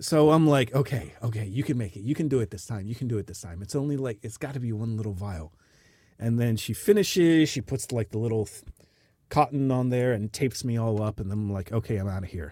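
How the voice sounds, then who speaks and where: On a very clean recording with a silent background, a man with an American accent and a dark, mellow tone speaks very fast in a medium pitch with lively intonation. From United States. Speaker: podcast host, expat. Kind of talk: casual chat. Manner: animated.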